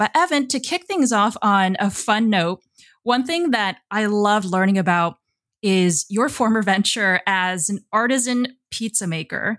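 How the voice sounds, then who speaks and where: A woman's unremarkable speaking voice, medium in pitch with ordinary pitch variation, at a fairly slow pace in a dry, close sound with no echo. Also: very clean recording, silent background. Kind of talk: interview.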